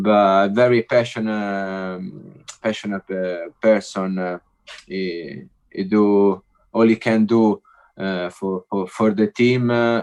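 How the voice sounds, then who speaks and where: In a dry, close recording with no echo, a man with an Italian accent talks at a very slow pace, his fairly low voice keeping fairly even intonation. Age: 30s. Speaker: former footballer. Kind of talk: podcast interview. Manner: halting, many fillers and repeats.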